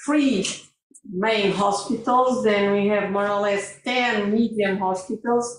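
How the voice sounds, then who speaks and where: A woman with a Portuguese accent and fairly even intonation, in audible room echo. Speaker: hospital pharmacy director. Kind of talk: conference talk. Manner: halting.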